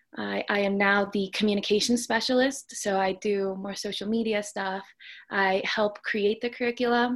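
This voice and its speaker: A woman with a plain, everyday voice speaks at medium pitch and a moderate pace with fairly even intonation against a quiet background. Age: 20s. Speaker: student and mental health educator. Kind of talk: interview.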